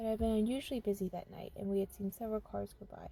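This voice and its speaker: Music plays behind the speaker. A woman delivers her words at a very fast pace. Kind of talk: creepypasta horror story reading. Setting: in a car.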